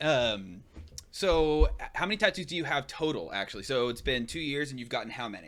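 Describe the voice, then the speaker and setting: Fairly quick and fairly high, a man's voice shows vocal fry, very wide pitch swings and big swings in loudness. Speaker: podcast host. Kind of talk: interview. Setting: live stream.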